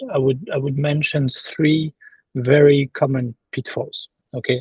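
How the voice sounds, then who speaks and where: With a French accent, a man speaks at a moderate pace. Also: dry, close sound with no echo. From France. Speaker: sourcing and quality assurance consultant. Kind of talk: interview. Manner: halting, many fillers and repetitions.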